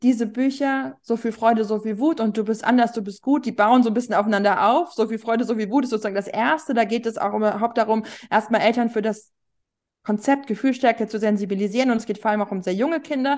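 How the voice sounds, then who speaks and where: A woman speaks very fast in a fairly high voice, her pitch moving in an ordinary way over a quiet background. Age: 40s. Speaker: journalist and parenting author. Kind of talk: interview.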